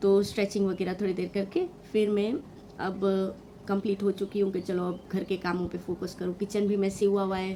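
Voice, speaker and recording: A woman at medium pitch, dark and mellow in tone, with monotone, flat intonation. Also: moderate pace. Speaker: vlogger and mother. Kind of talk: vlog voiceover. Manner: halting with fillers.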